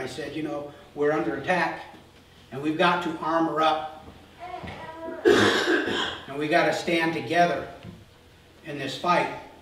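A man talks with long, frequent pauses, his voice carrying audible room echo over light background noise. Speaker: pastor. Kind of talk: sermon. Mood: earnest, serious. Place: church.

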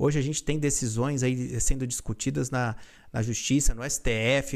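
Fairly slow delivery in a very clean recording with a silent background. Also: man. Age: 30s. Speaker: lawyer. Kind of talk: react video self-defense statement. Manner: halting, many fillers.

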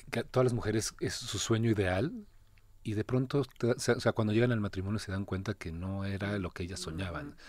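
A man talks at a fairly quick pace with fairly low pitch and ordinary pitch variation, in an unremarkable speaking voice. The recording is very clean, with a silent background. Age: 30s. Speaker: actor. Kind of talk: interview.

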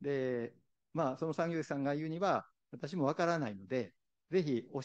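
A man with a normal speaking voice talks at a fairly quick pace and a medium pitch, with ordinary pitch variation and a quiet background. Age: 60s. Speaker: visually impaired university library employee. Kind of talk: testimony. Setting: forum stage with audience.

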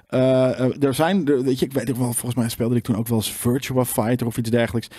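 The voice has a dark, mellow tone with fairly even intonation. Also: man. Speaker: gaming show co-host. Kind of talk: casual chat.

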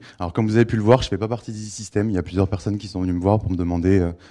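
A man's fairly low, dark and mellow voice in a flat monotone over a quiet background. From Bordeaux, France. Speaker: PHP consultant and trainer. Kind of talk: conference talk. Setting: stage with audience and microphone. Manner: hesitant, many fillers.

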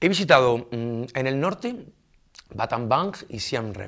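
There is a quiet background behind this man's speech. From southern Spain, Almería; southern Spain. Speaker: expatriate interviewee; interviewee. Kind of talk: interview. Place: studio.

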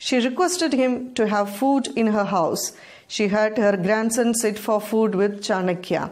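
An unremarkable speaking voice with ordinary pitch variation moves along at a moderate pace. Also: woman. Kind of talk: bedtime story, scripted narration read aloud. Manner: calm, even and measured, storyteller's pace; clear and formal, explaining the moral step by step.

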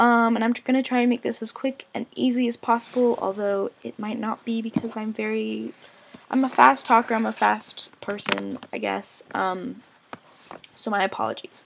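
Vocal fry runs through fairly even intonation. The pace is moderate. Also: woman, fairly high pitch for a woman.

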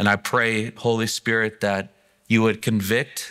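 In a quiet background, a man's fairly low voice comes through with a bright, sharp tone. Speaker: preacher. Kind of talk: sermon. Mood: earnest, prayerful then conversational. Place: church.

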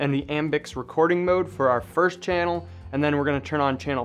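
A man talking at a fairly quick pace with lively intonation over background music. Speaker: audio gear tutor. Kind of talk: tutorial.

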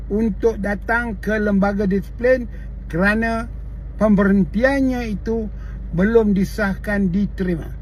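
At a very slow pace, the speaker uses ordinary pitch variation in a Malay accent. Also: man. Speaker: political commentator, veteran party member. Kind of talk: angry rant, political tirade. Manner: indignant, scolding, repeatedly hurling insults; blunt, forceful, sarcastic rhetorical questions.

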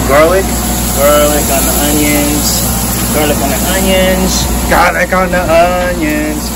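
Loud background noise sits behind the speaker. A man talks at a fairly slow pace. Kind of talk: casual vlog chat. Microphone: phone near.

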